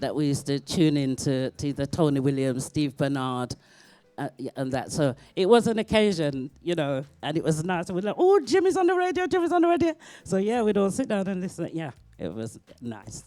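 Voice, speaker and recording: With a dark, mellow tone and a very deep, low pitch, a woman speaks at a fairly quick pace with lively intonation. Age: 60s. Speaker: singer. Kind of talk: interview.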